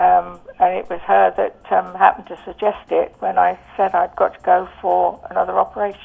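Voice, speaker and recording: Music plays in the background as a woman speaks with an English accent. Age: 70s. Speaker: customer giving testimonial. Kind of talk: testimony. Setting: phone call. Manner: hesitant, many fillers.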